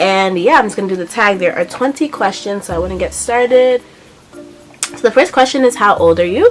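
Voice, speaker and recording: With a New York accent, a woman talks at medium pitch with ordinary pitch variation over noticeable background noise. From Brooklyn, New York. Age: 20s. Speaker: beauty vlogger. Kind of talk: casual vlog Q&A.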